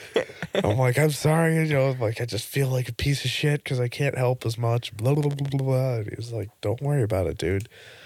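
A man's somewhat breathy, medium-pitched voice at a fairly quick pace. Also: ordinary pitch variation, very clean recording, silent background. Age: 20s. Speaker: operations manager and truck driver. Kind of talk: casual chat. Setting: studio.

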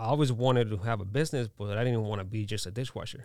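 Talking at a very fast pace with a Mexican accent, a man of medium pitch has a dark, mellow tone and fairly even intonation, in a very clean recording with a silent background. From Mexico. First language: Spanish. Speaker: restaurant owner. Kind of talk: casual interview.

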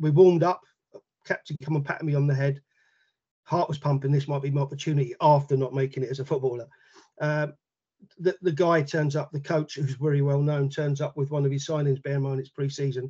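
With a London accent, a man talks very fast at a fairly high pitch, his intonation monotone and flat and his voice somewhat breathy. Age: 50s. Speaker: football coach and researcher. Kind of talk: casual interview chat.

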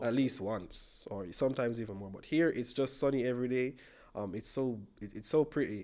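In a Jamaican accent, a man speaks at a fairly quick pace with a medium pitch, a dark, mellow tone and ordinary pitch variation. His loudness swings a lot. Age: 20s. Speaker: podcast guest. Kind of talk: casual chat.

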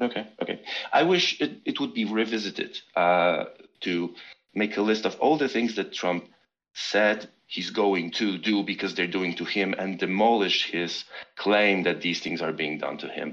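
With a Polish accent, a man speaks at a fairly slow pace and fairly low pitch. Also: ordinary pitch variation. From Poland. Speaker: caller. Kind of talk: call-in conversation.

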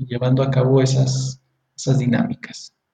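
A man at a fairly slow pace and fairly high pitch. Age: 20s. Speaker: teacher and beauty products seller. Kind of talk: casual educational chat. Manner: halting, repeats words.

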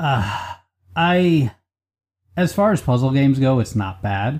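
The man's voice is somewhat breathy with a dark, mellow tone and lively intonation. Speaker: podcast host. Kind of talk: casual banter, game review.

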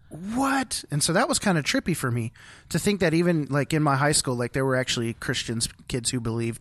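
In an American accent, a man talks fairly quickly in a plain, everyday voice, fairly high and lively in intonation. The background is quiet. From US West, Pasadena area. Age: 30s. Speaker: podcast host. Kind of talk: personal testimony.

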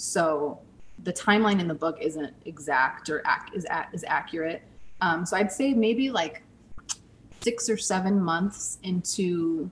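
A woman's somewhat breathy, fairly low voice in an American accent, at a fairly slow pace. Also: ordinary pitch variation. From US Midwest, St. Louis. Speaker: author and former actor. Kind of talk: interview.

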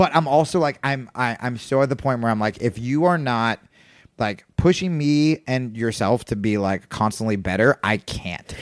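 A man with an American accent and a plain, everyday voice talks at a moderate pace with lively intonation, in a dry, close sound with no echo on a very clean recording with a silent background. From US Northeast, Brooklyn. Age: 30s. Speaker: comedian. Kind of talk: casual chat.

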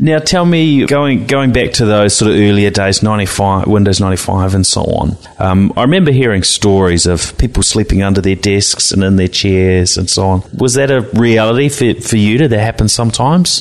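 A man's fairly low voice at a fairly quick pace, with lively intonation, very even loudness, hardly any pauses and noticeable background noise. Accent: New Zealand. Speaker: tech podcast host and IT business owner. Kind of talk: casual interview. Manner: hesitant, many fillers.

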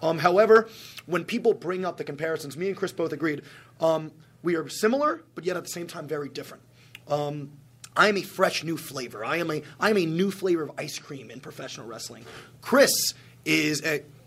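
A man with a New York accent speaks at a fairly quick pace, his pitch fairly high with ordinary variation. His loudness swings widely. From Long Island, New York. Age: 20s. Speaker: professional wrestler. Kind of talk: press scrum. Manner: brash.

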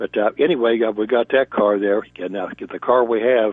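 Delivered at a fairly quick pace, a normal speaking voice carries ordinary pitch variation. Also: man. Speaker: race event organizer. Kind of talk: casual chat. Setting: phone call.

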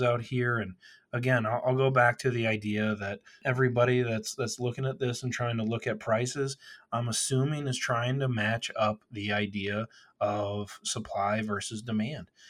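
An unremarkable speaking voice, this man has an American accent, medium pitch and fairly even intonation, talking at a moderate pace in a very clean recording with a silent background. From US South, Kentucky. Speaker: dairy market analyst. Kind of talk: market commentary podcast.

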